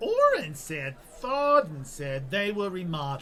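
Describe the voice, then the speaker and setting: In a put-on character voice of middle pitch, the speaker moves at a moderate pace with very wide pitch swings while clear background noise plays. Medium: audio drama. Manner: flippant, chatty.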